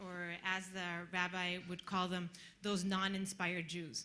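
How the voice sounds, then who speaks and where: A woman's bright, sharp tone. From Costa Rica. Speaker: audience member asking a question. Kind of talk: audience question at a panel.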